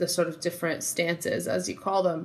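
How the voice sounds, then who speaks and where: Someone talks with an American accent in a monotone, flat intonation. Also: woman. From New Jersey. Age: 30s. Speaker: musician. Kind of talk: interview conversation.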